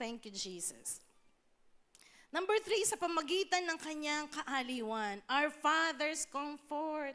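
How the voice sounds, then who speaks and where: Speaking very slowly, a woman projects a raised, high-pitched voice. Her tone is bright and sharp, and her intonation is lively. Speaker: pastor. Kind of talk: sermon.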